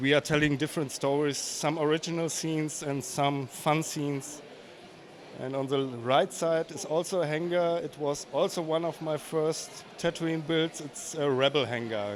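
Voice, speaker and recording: A man with a fairly high pitch speaks at a moderate pace. His intonation is fairly even, and there is noticeable background noise. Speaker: LEGO builder. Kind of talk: casual interview. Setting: convention floor. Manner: halting.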